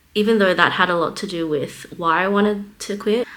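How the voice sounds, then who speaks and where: A woman with an Australian accent speaks at a medium pitch with fairly even intonation, with noticeable background noise behind her. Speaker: vlogger and small business artist. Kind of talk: casual vlog monologue.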